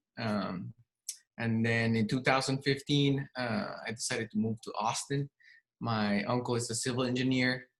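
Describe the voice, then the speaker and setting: Speaking with a Spanish accent, a man keeps a moderate pace, a medium pitch and fairly even intonation. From Mexico City, Mexico. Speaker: real estate agent. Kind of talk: casual interview.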